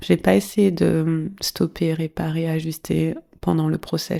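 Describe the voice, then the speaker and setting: A woman with a fairly low pitch has a dark, mellow tone. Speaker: sex coach and podcast host. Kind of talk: personal monologue podcast. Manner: casual, conversational with fillers.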